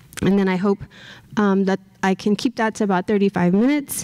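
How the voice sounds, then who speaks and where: Dark, mellow tone with an American accent, ordinary pitch variation and a fairly quick pace over a quiet background. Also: woman. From South Texas. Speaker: professor. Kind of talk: lecture. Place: hall. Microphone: podium.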